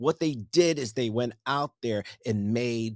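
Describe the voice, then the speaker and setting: The delivery is animated, with ordinary pitch variation and a dry, close sound with no echo. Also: man. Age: 60s. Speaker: podcast host. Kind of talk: solo monologue rant. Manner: halting.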